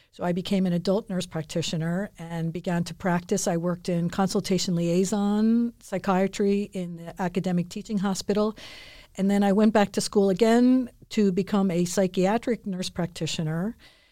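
The voice has a dark, mellow tone and an American accent. Intonation stays fairly even at a moderate pace, in a very clean recording with a silent background. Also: woman, medium pitch for a woman. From US, Philadelphia. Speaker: nurse practitioner. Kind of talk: interview.

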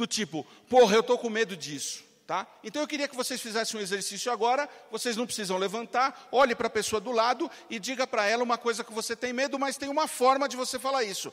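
Noticeable background noise sits behind a man whose voice is extremely high-pitched and animated. He talks at a very fast pace with ordinary pitch variation. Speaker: marketing entrepreneur and motivational speaker. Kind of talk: motivational talk. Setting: stage with audience.

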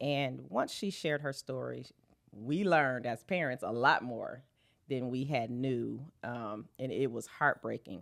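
In a very clean recording with a silent background, a woman with an American accent speaks at a fairly slow pace. Her very deep, low pitch carries vocal fry and ordinary pitch variation. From Flint, Michigan. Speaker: fashion show producer. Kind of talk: interview.

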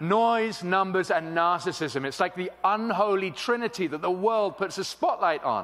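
With an English accent, a man is talking. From England. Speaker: pastor. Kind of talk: sermon. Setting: church with congregation.

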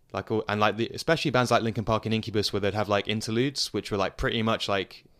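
A man with a British accent speaks at a very fast pace. His medium pitch holds fairly even intonation. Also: very clean recording, silent background. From England, London suburbs. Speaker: DJ and producer. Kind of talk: casual interview. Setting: studio. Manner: hesitant, many fillers.

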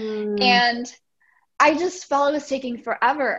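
A woman's high voice with a slight Czech accent, fairly slow and with ordinary pitch variation over a quiet background. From Czech Republic. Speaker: life and business coach. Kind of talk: podcast interview.

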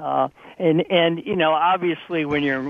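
A man with an American accent and a normal speaking voice talks at a moderate pace with fairly even intonation. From US Midwest, Ohio (Lake Erie). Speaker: company founder and author. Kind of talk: interview.

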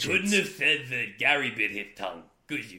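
A man puts on a gruff character voice, fairly high in pitch, with very wide pitch swings. He goes at a moderate pace.

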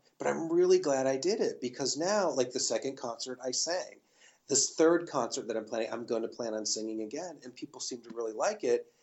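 A man with an American accent and an ordinary speaking voice talks at a fairly quick pace at medium pitch. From US Midwest. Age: 40s. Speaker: pianist and recording artist. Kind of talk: interview.

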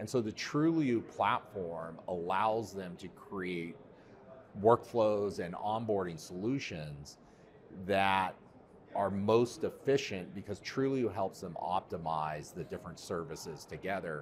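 In a normal speaking voice, the speaker talks at a fairly slow pace with lively intonation and big swings in loudness. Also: man, fairly low pitch for a man. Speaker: tech company product executive. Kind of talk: interview. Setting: live event venue.

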